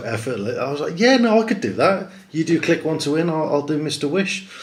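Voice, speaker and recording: Audible room echo surrounds a man speaking with a British accent. His pitch swings very widely. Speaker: competition site host. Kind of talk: live stream presentation. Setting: livestream to camera. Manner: hesitant, many ums.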